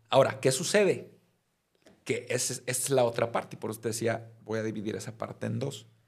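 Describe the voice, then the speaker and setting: At a fairly quick pace, a man talks in a medium pitch, somewhat breathy, with fairly even intonation. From Mexico, Mazatlán (Sinaloa). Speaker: criminal defense lawyer. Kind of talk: casual chat.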